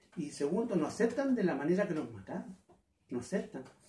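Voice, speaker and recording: A man speaks with audible echo from the room. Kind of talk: interview answer. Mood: earnest, troubled. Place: home room. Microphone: camera far.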